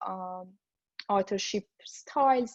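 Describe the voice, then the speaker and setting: A dark, mellow tone with a non-native accent, ordinary pitch variation and a fairly slow pace, dry and close with no echo against a quiet background. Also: woman. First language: not English. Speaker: machine learning director, talk speaker. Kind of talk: conference talk. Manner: hesitant, many fillers.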